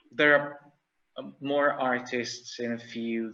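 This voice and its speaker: With a non-native accent, a bright, sharp voice speaks at a very slow pace amid audible room echo. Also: man. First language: not English. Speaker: conference speaker. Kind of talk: conference presentation. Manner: halting, many fillers.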